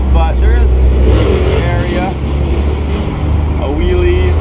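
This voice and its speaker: Loud background noise surrounds a man speaking very slowly. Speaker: vlogger. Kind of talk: casual vlog chat. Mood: relaxed, cheerful. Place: street. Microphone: phone near.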